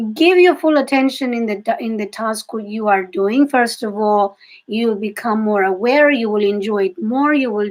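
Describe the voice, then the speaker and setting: A woman with a Greek accent talks at a moderate pace with hardly any pauses, using lively intonation at a fairly high pitch. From Greece. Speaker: psychic reader and intuitive coach. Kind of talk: live-stream reading for viewers. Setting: live video stream. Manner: halting, with self-corrections.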